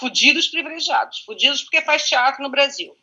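A woman speaks at a high pitch. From Brazil, Santos (São Paulo state). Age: 50s. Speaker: actress. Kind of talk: casual chat. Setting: online call.

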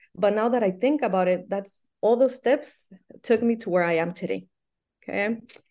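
A woman with a Spanish accent talks at a fairly quick pace in a dark, mellow tone. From Michoacán, Mexico. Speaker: soccer coach and Spanish teacher. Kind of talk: casual interview.

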